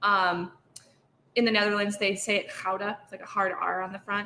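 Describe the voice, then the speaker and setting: A woman with an American accent talks at a fairly quick pace in a medium-pitched, monotone, flat voice, with long, frequent pauses. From Michigan, US. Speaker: cheesemonger. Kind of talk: casual chat.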